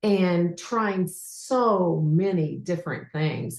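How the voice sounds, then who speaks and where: A woman with an American accent speaks at a fairly low pitch, somewhat breathy, with lively intonation. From United States. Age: 60s. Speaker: leadership development coach. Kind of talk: testimony.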